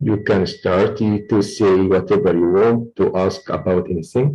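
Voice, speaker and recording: A man with a dark, mellow tone speaks very slowly. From Egypt. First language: Arabic. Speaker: oil and gas lecturer. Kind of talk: online lecture Q&A.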